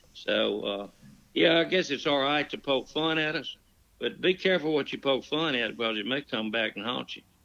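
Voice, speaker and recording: Lively in intonation and marked by vocal fry, a man with a strong Southern accent speaks at a fairly high pitch and a moderate pace. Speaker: storyteller. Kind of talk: storytelling in casual chat. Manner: folksy, rambling delivery.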